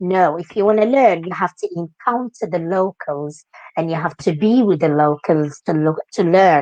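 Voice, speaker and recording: A woman with a Moroccan accent speaks at a moderate pace in a fairly low pitch. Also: ordinary pitch variation. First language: Moroccan Arabic. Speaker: dance teacher. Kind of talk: interview. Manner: animated.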